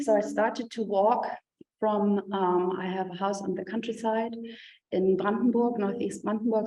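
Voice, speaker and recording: In a room with audible echo, a woman with a German accent speaks at a medium pitch with fairly even intonation. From Germany. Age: 50s. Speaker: professor and artist. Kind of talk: lecture. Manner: hesitant, many fillers.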